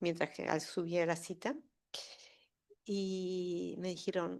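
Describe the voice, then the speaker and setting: This woman's pitch is medium. Her intonation shows ordinary pitch variation. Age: 60s. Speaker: audience member, daughter of political prisoner. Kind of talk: public Q&A testimony. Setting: university lecture hall with audience.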